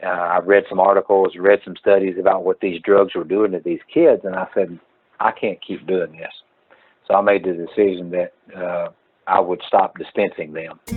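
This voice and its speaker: Moderate-paced speech in a Mississippi accent, with big swings in loudness. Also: man. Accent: Southern US (Mississippi). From North Mississippi. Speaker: pharmacist. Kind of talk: interview. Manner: hesitant, many filler uhs.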